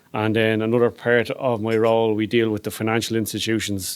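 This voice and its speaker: A man's fairly low, flat, monotone voice with an Irish accent. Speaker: police fraud detective. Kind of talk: presentation. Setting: hotel function room with live audience. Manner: fast.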